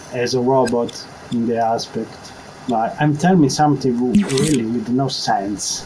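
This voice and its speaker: A man with an Italian accent talks at a moderate pace, medium in pitch with ordinary variation. Room echo is audible, along with noticeable background noise. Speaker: video game tutorial maker. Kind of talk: tutorial. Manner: halting.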